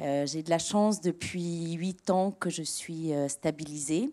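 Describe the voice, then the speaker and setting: Fairly low female voice at a very slow pace with lively intonation, very cleanly recorded against a silent background. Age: 50s. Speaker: author and patient. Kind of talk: testimony. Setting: auditorium with audience. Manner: hesitant, many fillers.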